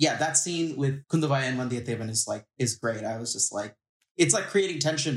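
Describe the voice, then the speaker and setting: At a fairly quick pace, a man speaks in a medium pitch with ordinary pitch variation and a somewhat breathy voice. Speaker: film podcast guest. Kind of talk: casual chat.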